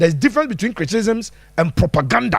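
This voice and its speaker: A man with a Ghanaian accent speaks at a very fast pace in an animated tone, his pitch swinging very widely. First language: Twi. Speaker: football pundit. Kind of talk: live-stream football analysis answering viewer comments.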